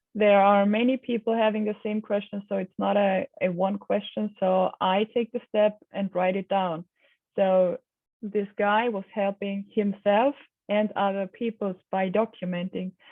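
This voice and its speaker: A woman's medium-pitched voice with a non-native accent, monotone, flat intonation, and a fairly slow pace. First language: not English. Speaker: knowledge management program manager. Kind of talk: interview. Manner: hesitant, many fillers.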